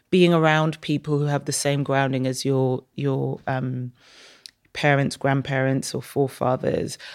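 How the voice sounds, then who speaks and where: A woman in a London accent with a very deep, low pitch, moderate pace and fairly even intonation, in a very clean recording with a silent background. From Saint Kitts, then London from age seven. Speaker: media business executive. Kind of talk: casual interview.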